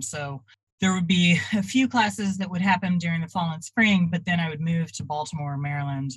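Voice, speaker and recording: Her voice comes across somewhat breathy. The woman has an American accent. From Texas (Dallas-Fort Worth). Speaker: artist and traveling art teacher. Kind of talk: interview.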